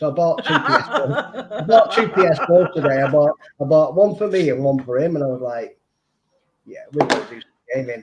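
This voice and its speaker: Lively intonation marks this man's fairly high voice. His loudness swings widely. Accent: Mancunian. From Manchester, northern England. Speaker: streamer. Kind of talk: casual chat. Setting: live stream. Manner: halting, repetitive.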